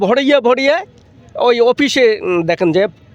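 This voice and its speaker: A man talks at an extremely high pitch amid noticeable background noise. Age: 60s. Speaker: protest marcher. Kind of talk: street interview answer. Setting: outdoors.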